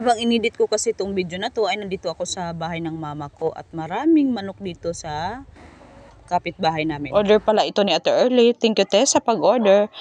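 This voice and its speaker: The speech moves at a very fast pace with lively intonation. Loudness swings widely. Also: woman, medium pitch for a woman. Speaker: home baker. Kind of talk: voice-over tutorial. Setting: at home.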